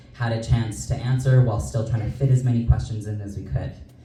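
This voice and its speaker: A man with a Canadian accent speaks at a medium pitch with ordinary pitch variation, amid noticeable background noise and audible room echo. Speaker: debate moderator. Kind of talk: event moderation. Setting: community hall event with live audience. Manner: projects voice without microphone.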